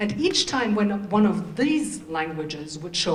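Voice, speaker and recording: Room echo is audible around a woman's voice. Noticeable background noise is also present. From Germany. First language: German and Turkish. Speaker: diplomat. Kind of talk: welcoming speech.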